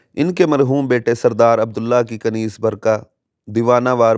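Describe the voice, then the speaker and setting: In a dramatic tone, a man speaks at a medium pitch with ordinary pitch variation. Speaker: Islamic preacher. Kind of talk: religious sermon, Islamic storytelling. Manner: dramatic, emotional narration.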